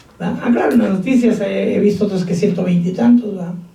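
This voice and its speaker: The pitch varies in an ordinary way. Audible room echo surrounds the voice. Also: man. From Mexico. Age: 50s. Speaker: pastor. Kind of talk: sermon.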